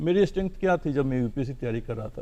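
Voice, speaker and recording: A man with a fairly high pitch speaks in a dark, mellow tone, his pitch varying in an ordinary way. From Bihar, India. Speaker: civil servant. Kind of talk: TV interview.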